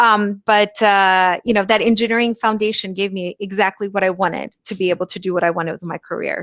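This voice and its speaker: Recorded very cleanly against a silent background with a dry, close sound and no echo, a woman uses a normal speaking voice at medium pitch with fairly even intonation. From US, moved from Brazil at nine. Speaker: engineer and marketing professional. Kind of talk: interview.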